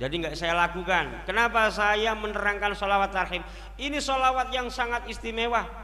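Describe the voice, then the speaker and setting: A man with a high voice speaks in a raised, projected, animated way at a moderate pace with ordinary pitch variation. Audible room echo and noticeable background noise surround him. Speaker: Islamic preacher. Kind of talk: sermon.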